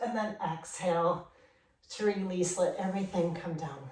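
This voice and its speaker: A woman keeps a moderate pace while audible room echo rings around her. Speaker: yoga instructor. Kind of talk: guided yoga class instruction. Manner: calm, paced instructions.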